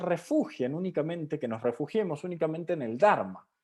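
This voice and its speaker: Very wide swings of pitch in a high male voice. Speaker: Buddhism seminar teacher. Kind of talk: lecture.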